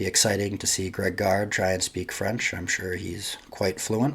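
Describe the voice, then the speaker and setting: With an American accent, a man speaks at a moderate pace. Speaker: sports podcast host. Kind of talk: solo sports podcast monologue. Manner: casual, with filler words.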